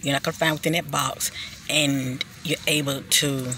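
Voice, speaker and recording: Noticeable background noise sits under a woman's very deep, low voice. She speaks fairly slowly in a monotone, flat intonation. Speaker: spiritual vlogger. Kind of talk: casual monologue. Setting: outdoors.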